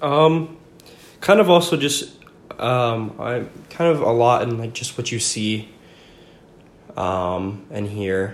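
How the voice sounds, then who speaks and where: A medium-pitched man with an American accent, very slow pace, lively intonation, long frequent pauses and audible room echo. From Franklin, Virginia. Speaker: college student. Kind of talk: interview.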